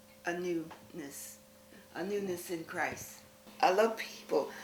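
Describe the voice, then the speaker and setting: Noticeable background noise sits under the recording. A woman speaks at a very slow pace. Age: 80s+. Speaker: artist and documentary subject. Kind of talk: interview answer. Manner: reflective, sincere, religious.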